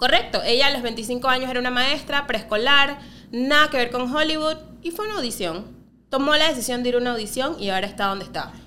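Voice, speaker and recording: A woman's raised, projected voice, high in pitch, with lively intonation and a very fast pace over noticeable background noise. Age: 30s. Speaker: podcast co-host. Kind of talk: casual chat.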